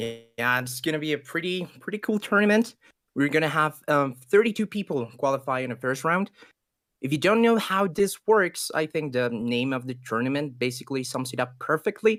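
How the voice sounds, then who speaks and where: The speaker has a Spanish accent and a moderate pace. The recording is very clean, with a silent background. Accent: Spanish accent, noticeable. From Ecuador. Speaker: esports caster. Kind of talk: live commentary.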